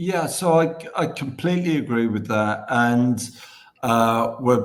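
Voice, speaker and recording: A man speaks with a British accent. Audible room echo surrounds his voice. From Britain. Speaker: podcast host. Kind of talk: podcast interview.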